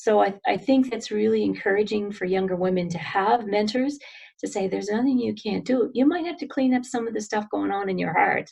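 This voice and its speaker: Lively in intonation, a woman speaks at a medium pitch and a fairly quick pace. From Nova Scotia, Canada (New Glasgow). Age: 60s. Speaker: business development executive, interviewee. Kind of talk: personal interview. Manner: halting, with restarts.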